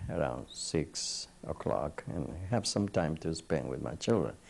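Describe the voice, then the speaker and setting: The man speaks at a very slow pace with a non-native accent. Vocal fry runs through his voice. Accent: non-native English, still noticeable. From Colombia. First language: Spanish. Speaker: psychiatrist. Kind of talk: oral history interview. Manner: halting.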